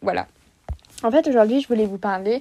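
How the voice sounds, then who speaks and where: Ordinary pitch variation shapes a dark, mellow tone. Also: woman. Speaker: podcast host. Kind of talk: casual monologue.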